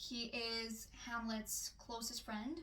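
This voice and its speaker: A woman speaks at a fairly high pitch in a bright, sharp tone. Audible room echo surrounds her voice. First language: not English. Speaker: book reviewer. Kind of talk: book review vlog. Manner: hesitant with fillers.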